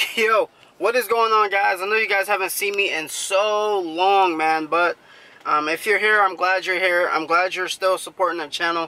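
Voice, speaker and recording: A man speaks in a raised, projected voice at a fairly quick pace. His tone is bright and sharp, and the sound is dry with no echo. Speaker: fishing vlogger. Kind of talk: casual vlog chat. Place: car. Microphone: phone near.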